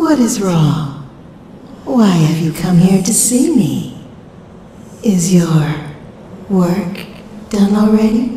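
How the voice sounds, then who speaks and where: A put-on character voice at middle pitch speaks at a very slow pace. Strong echo fills the recording. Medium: audio drama. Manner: silky, condescending.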